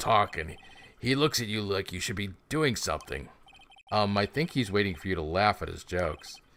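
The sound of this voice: The speaker uses an unforced reading voice. The delivery stays in that manner throughout.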